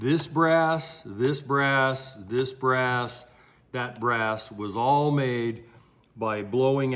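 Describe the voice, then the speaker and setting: A man is speaking. The room echo is audible. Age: 60s. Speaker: ammunition maker and gun expert. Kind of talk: tutorial. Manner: casual, conversational.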